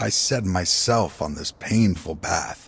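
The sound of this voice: A man drawls slowly in a put-on character voice, low-pitched with a husky, rough edge, vocal fry and ordinary pitch variation.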